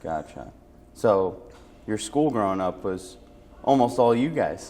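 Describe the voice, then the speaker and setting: A man with an unremarkable speaking voice and an American accent talks at a fairly slow pace. His fairly low voice carries lively intonation. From Parma, Ohio. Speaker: senior center interviewer. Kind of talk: interview.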